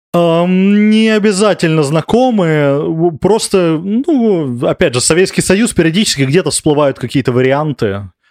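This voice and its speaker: A man with a high pitch talks at a fairly slow pace, hardly pausing at all. His intonation is lively, his loudness very even, and the recording very clean with a silent background. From Moscow, Russia. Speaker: emigrant, former researcher. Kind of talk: interview. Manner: halting.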